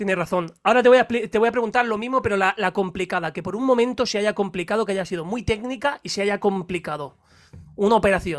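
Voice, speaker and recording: A man's high-pitched, very fast speech with ordinary pitch variation over a quiet background. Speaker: YouTube interviewer. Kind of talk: casual interview. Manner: laughs often. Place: studio. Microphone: studio mic.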